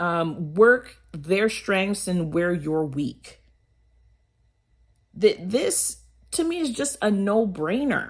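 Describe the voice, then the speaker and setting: A loud woman with a medium pitch speaks at a very slow pace. Her pitch swings very widely, and she leaves long, frequent pauses. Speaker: motivational vlogger. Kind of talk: motivational talk.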